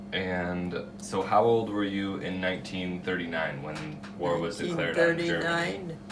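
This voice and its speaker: With music playing in the background, a man talks at a fairly slow pace and hardly any pauses. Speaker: interviewer.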